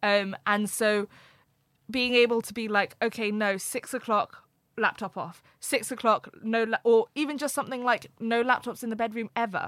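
A plain, everyday voice moves at a moderate pace with fairly even intonation. The sound is dry and close with no echo, on a very clean recording with a silent background. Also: woman, fairly high pitch for a woman. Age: 20s. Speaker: life coach and writer. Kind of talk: casual interview conversation. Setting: studio, in-person recording.

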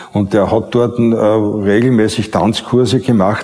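A man with a fairly low pitch talks as background noise is clearly audible. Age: 70s. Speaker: former dancer and marketing man. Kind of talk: interview testimony. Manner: halting.

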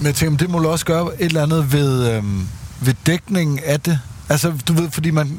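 Through noticeable background noise, a man with a fairly high voice speaks at a moderate pace, with ordinary pitch variation and very even loudness. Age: 30s. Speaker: podcast host. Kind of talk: casual chat.

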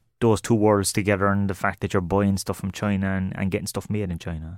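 With an Irish accent, a man of fairly low pitch speaks at a fairly quick pace. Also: very clean recording, silent background. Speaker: podcast host. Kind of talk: interview. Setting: studio.

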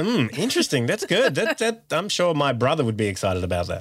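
A strained, put-on character voice moves at a fairly quick pace with very wide pitch swings. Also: man, fairly high pitch for a man. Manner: strained, forced politeness; speaking through gritted teeth.

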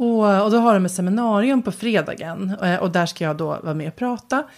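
Pitch moves in an ordinary way while the talking proceeds at a moderate speed. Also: woman. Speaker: writer and podcast co-host. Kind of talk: casual chat. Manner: halting.

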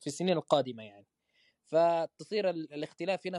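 Dark and mellow male tones, recorded dry and close without any echo. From Egyptian raised in Medina, Saudi Arabia. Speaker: podcast host. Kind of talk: casual chat.

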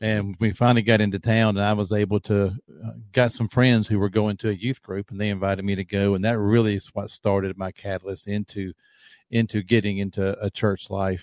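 A man speaks at a fairly quick pace in a monotone, flat intonation, with an American accent and a fairly low pitch. The recording is very clean, with a silent background. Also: dry, close sound with no echo. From US South, South Carolina. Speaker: minister and outdoor writer. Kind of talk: interview.

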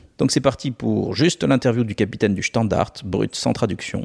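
A man at fairly low pitch with vocal fry, ordinary pitch variation and a very fast pace, in a dry, close sound with no echo. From France. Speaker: podcast host. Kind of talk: scripted intro; interview. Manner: loud.

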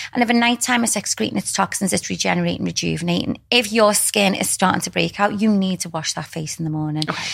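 Words come at a very fast pace with hardly any pauses and lively intonation. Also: woman, medium pitch for a woman. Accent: British. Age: 40s. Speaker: skin clinic owner. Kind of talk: interview.

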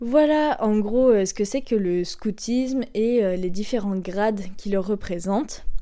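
A woman's fairly high, dark, mellow voice at a very slow pace, with hardly any pauses and ordinary pitch variation. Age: 20s. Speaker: podcast host and scout leader. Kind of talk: solo explanatory podcast.

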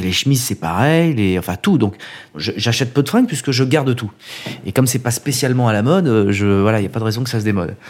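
Very fast delivery with lively intonation. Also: man, medium pitch for a man. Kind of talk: casual interview.

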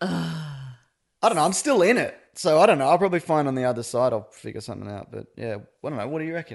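Talking at a very fast pace, a man shows vocal fry, very wide pitch swings, and big swings in loudness. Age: 30s. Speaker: podcaster, host's husband. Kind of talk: casual chat.

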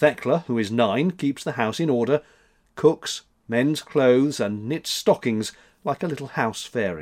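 Unforced voice for reading

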